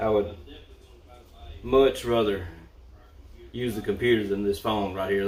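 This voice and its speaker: Here a man's fairly low voice moves at a fairly quick pace. The intonation stays monotone and flat. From US South, Mississippi. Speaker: vlogger and sheriff's deputy. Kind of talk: livestream chat. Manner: casual, hesitant.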